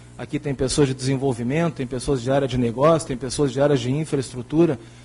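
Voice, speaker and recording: A man with a fairly high pitch, fairly even intonation and a fairly quick pace. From Rio Grande do Sul, southern Brazil. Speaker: company director, panel moderator. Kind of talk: closing remarks at a conference panel.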